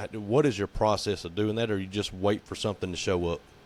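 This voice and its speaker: Speaking in a Southern US accent, the man has a fairly low pitch. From US South. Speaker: podcast co-host. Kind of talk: casual chat.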